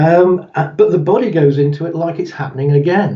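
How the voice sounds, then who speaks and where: A man with a British accent talks at a moderate pace. His pitch is fairly high, with ordinary variation. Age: 60s. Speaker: therapist. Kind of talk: interview.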